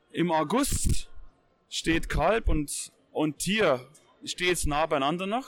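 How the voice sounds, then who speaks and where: The speech moves at a very slow pace with very even loudness. Its intonation is lively. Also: man, high pitch for a man. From Bavaria. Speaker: hunting magazine editor. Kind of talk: casual discussion. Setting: trade fair.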